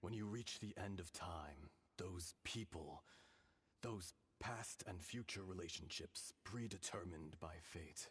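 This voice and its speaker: A man puts on a character voice, very deep and low in pitch. He speaks in a solemn tone at a fairly slow pace. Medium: video game. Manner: solemn, measured, archaic.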